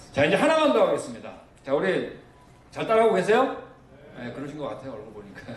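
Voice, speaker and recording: Very fast speech broken by long, frequent pauses, with very wide pitch swings and big swings in loudness, plus audible room echo and noticeable background noise. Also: man, high pitch for a man. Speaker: missionary lecturer on creation science. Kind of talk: lecture. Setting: church seminar with audience.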